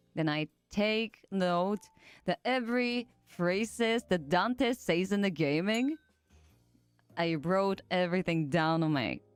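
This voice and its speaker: Music plays behind a woman whose voice sounds dry and close, with no echo. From Japanese, raised abroad in various countries. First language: Japanese. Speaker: streamer. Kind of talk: casual chat.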